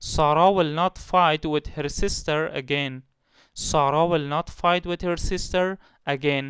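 At a fairly slow pace, a man with an Afghan accent speaks in a fairly high voice, with a dry, close sound with no echo and a quiet background. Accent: Afghan Dari Persian. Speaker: English teacher. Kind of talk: tutorial. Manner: slow, repeating each example twice.

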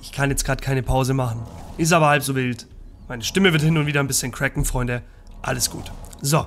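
Light background noise sits under a man talking very fast with a fairly high pitch and fairly even intonation. He takes long, frequent pauses. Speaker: let's play gamer. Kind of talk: gameplay commentary. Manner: casual, chatty.

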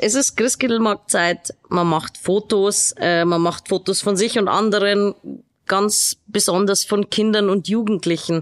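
A woman with a normal speaking voice at a medium pitch, fairly slow in pace, with ordinary pitch variation and a quiet background. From Regensburg, Bavaria; Bavaria. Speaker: podcast host. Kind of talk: interview. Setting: studio. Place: studio.

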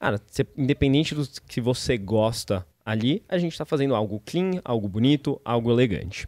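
A man at a fairly quick pace with lively intonation, dry sound with no echo and a quiet background. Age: 30s. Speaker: startup founder and CEO; guest. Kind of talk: podcast interview; interview answer. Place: studio. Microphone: studio mic.

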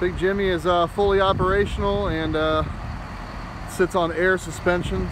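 The sound is dry, with no echo, and noticeable background noise. The speech moves at a moderate pace. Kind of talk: casual walkaround commentary. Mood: proud, relaxed. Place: street. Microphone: phone near.

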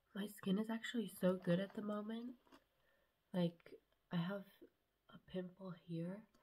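Speaking very slowly, a woman has a dark, mellow, somewhat breathy tone and fairly even intonation. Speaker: vlogger. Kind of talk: casual vlog chat. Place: home room. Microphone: phone near.

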